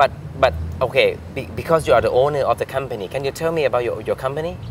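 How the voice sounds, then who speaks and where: Someone with a Thai accent speaks at a very fast pace. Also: man. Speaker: talk show host. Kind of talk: interview.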